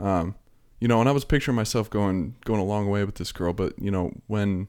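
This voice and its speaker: On a very clean recording with a silent background, a man with an American accent and a normal speaking voice talks at a fairly low pitch and fairly quick pace. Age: 30s. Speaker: vape shop owner. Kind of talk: casual chat. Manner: casual, laid-back.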